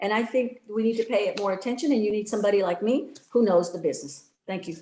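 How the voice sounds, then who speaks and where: Her voice is a plain, everyday voice, medium in pitch for a woman, with lively intonation. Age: 60s. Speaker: political candidate, retired educator. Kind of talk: debate closing statement.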